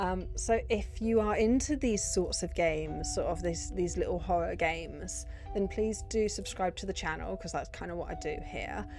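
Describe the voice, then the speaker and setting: A woman with a British accent talks with hardly any pauses. Her voice carries audible room echo, and music plays in the background. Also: moderate pace. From Britain. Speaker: gaming youtuber. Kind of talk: casual chat.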